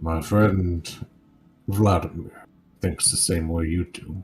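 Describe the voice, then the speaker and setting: Using a put-on character voice, a man speaks in a solemn tone at a fairly slow pace with a very deep, low pitch. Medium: actual play. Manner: formal, solemn.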